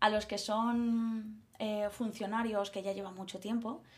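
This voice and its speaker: A woman speaks at a very slow pace with medium pitch and fairly even intonation. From Mallorca, Spain. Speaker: primary school teacher. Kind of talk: casual chat. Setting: recording at home.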